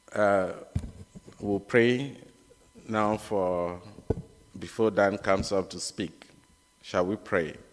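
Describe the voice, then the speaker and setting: A man talks very slowly, his intonation fairly even, while noticeable background noise runs underneath. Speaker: church member reading scripture. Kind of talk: reading aloud. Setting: church service.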